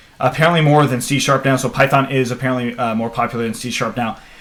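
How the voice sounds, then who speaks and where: A man talking at a fairly quick clip, his pitch moving in an ordinary way, with noticeable noise in the background. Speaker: programming instructor. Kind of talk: live Q&A stream. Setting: live stream. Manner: fast; animated.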